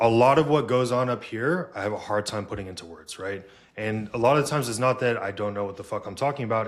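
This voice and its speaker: Quietly, a man speaks at a fairly quick pace with a fairly low pitch. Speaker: podcast host and fitness coach. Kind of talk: casual chat. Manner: quiet, introverted.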